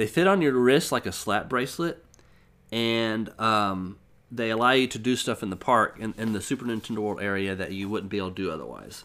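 The man's speech moves at a fairly quick pace, with ordinary pitch variation. Behind him is silence in a very clean recording. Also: medium pitch for a man. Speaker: game reviewer and podcast host. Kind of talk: casual chat. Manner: halting, many fillers.

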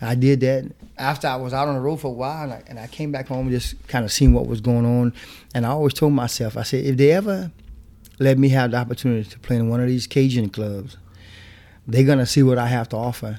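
A man with a Louisiana accent speaks at a very fast pace and medium pitch, his tone dark and mellow, his intonation fairly even and his loudness swinging widely, all on a very clean recording with a silent background. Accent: Louisiana Creole English. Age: 40s. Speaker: zydeco musician. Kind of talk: interview.

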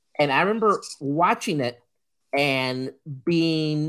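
The recording is very clean, with a silent background. The speaker has a Puerto Rican accent. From Puerto Rico. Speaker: podcast co-host. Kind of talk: casual chat.

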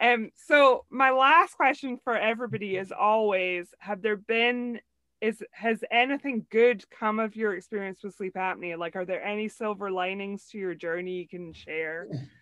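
A woman's fairly high, bright, sharp voice at a moderate pace, with ordinary pitch variation, big swings in loudness, hardly any pauses and a dry, close sound with no echo. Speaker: podcast host. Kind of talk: interview.

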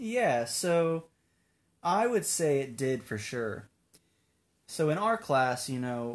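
This man talks very slowly with an American accent. The background is quiet. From US Pacific Northwest, Tacoma, Washington. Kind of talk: casual interview. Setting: studio. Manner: energetic.

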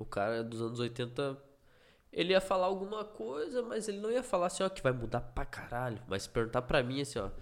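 An unremarkable speaking voice belongs to a man with a fairly high pitch and lively intonation, talking at a fairly quick pace on a very clean recording with a silent background. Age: 30s. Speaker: podcast co-host. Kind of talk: casual chat.

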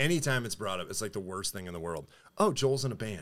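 Lively intonation and an American accent mark this voice, which moves at a moderate pace. The recording is very clean, with a silent background. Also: man. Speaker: metal band frontman and vocalist. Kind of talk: casual interview chat. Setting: studio.

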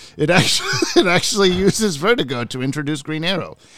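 A man talks at a very fast pace with lively intonation. Noticeable background noise runs under the recording. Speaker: podcast co-host. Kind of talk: casual chat. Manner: animated.

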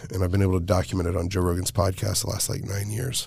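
Somewhat breathy, a man with an American accent and a dark, mellow tone speaks in a very clean recording with a silent background. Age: 30s. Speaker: professional MMA fighter and nonprofit founder. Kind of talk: casual interview.

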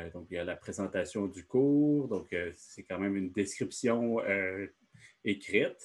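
In an ordinary speaking voice with ordinary pitch variation, the speaker talks at a fairly slow pace over a quiet background. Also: man. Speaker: education consultant. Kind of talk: presentation in online meeting.

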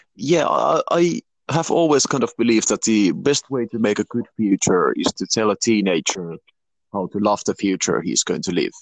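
The sound is dry and close, with no echo. Speech comes at a middling speed. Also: man. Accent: slight Finnish. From Finland. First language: Finnish. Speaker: youth instructor. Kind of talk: interview. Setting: online video interview.

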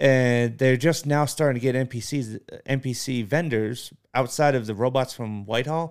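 In a very clean recording with a silent background, a man with an American accent and a normal speaking voice talks at a moderate pace and medium pitch, with fairly even intonation. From Massachusetts. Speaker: podcast co-host. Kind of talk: casual chat.

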